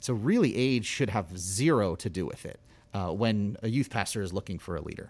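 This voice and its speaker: A man with a fairly low pitch talks at a fairly quick pace in an unremarkable speaking voice. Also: ordinary pitch variation. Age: 40s. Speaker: youth ministry leader. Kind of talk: casual interview chat.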